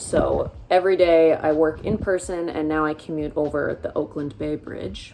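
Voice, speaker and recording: A woman speaks with an American accent in a fairly low pitch. Noticeable background noise runs behind her. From US Pacific Northwest (Seattle area). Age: 20s. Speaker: vlogger. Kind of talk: casual vlog talk. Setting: indoors getting ready, bedroom. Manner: casual, chatty.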